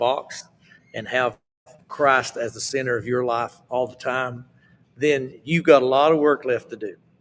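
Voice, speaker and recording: With an Appalachian accent, a man speaks at a fairly high pitch. His pace is fairly slow and his intonation fairly even. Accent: Appalachian Southern US. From US South, Appalachian Mountains. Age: 70s. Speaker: southern gospel singer. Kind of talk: interview.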